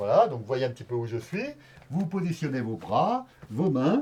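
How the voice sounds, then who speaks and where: A man speaks at a moderate pace, somewhat breathy, with lively intonation. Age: 60s. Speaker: yoga teacher. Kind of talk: tutorial. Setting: outdoors. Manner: hesitant, many fillers.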